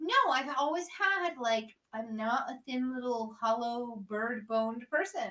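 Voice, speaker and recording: A woman's high, bright, sharp voice, animated in tone, with lively intonation at a fairly slow pace. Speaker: guest host. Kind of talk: casual chat.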